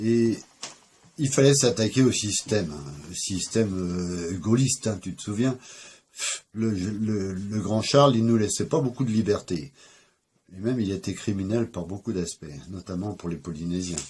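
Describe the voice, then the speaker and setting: The man's pitch sits fairly low and his voice is somewhat breathy. He talks at a fairly slow pace. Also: ordinary pitch variation. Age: 60s. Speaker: interviewee recounting his life. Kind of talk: life story interview. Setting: at home. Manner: hesitant, many fillers.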